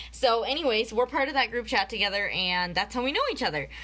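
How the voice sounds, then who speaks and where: Vocal fry in a bright, sharp, animated tone with lively intonation. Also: woman. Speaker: network marketing presenter. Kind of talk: live video training. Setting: Facebook live video.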